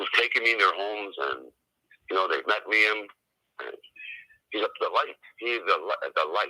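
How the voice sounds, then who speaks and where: This man speaks at a moderate pace. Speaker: father in custody dispute. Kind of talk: interview. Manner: loud.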